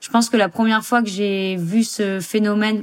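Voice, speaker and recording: A woman at a moderate pace with fairly even intonation, music in the background. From Saint-Martin (Caribbean). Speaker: professional surfer. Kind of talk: interview testimony.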